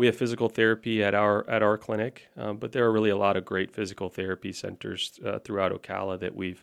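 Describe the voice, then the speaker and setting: Very fast and fairly even in intonation, a man with an American accent speaks at a fairly low pitch. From Florida (Orlando). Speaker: orthopaedic surgeon. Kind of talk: podcast interview. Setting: studio.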